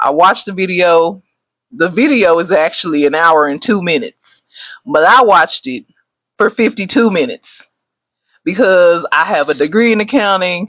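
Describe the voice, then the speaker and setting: Loud and excited, a woman with a Texas accent speaks at a medium pitch and a moderate pace. Her tone is bright and sharp, with lively intonation. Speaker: travel agent. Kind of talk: casual live stream talk. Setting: livestream. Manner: loud, excited.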